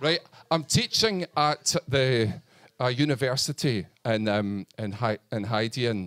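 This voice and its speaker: The speaker has a Scottish accent and ordinary pitch variation at a very slow pace. The sound is dry and close with no echo. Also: man, medium pitch for a man. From northern Scotland. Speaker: comedian. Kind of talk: stand-up. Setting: stage with audience. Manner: halting.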